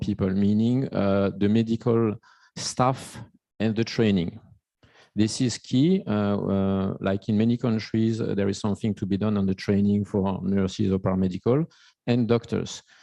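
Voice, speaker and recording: Speaking in a French accent, a man with a fairly low pitch and a dark, mellow tone keeps his intonation fairly even and his loudness very even, in a dry, close sound with no echo over a quiet background. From France. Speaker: invited panel expert. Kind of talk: panel discussion. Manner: halting, many restarts.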